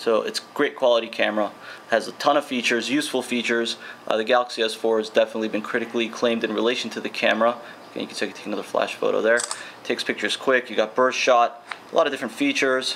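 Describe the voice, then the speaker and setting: Amid noticeable background noise, a man at medium pitch talks at a very fast pace with monotone, flat intonation. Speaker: tech reviewer. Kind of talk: product review tutorial. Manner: casual.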